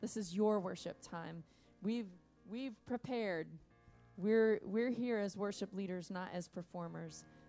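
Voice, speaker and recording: Faint music plays in the background as a woman talks at a moderate pace. Her pitch variation is ordinary. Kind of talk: worship welcome and spoken prayer. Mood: warm, prayerful. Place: stage.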